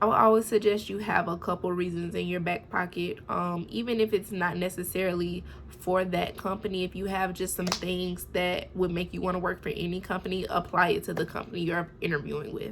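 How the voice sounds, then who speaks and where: A woman with vocal fry and a medium pitch. She talks at a fairly quick pace with hardly any pauses. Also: fairly even intonation. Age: 20s. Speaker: nursing student. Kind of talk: casual talk to camera.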